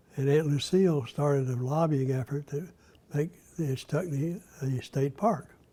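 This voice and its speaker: This man has a fairly high pitch and a dark, mellow tone that is somewhat breathy. He talks at a moderate pace with ordinary pitch variation. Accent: Southern US. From US South, Florida (Gainesville). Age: 80s+. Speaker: former state legislator. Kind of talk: interview. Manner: halting.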